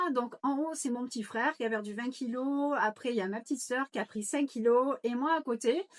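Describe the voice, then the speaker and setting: At a moderate pace and with ordinary pitch variation, the voice comes through a very clean recording with a silent background and a dry, close sound free of echo. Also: woman. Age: 50s. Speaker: nutrition coach. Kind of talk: informal sales pitch. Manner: hesitant, many fillers.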